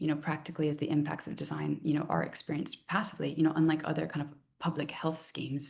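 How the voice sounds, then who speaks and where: At a very fast pace, a woman talks with a very deep, low pitch, a dark, mellow tone and vocal fry. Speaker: design researcher and lecturer. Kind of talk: research talk.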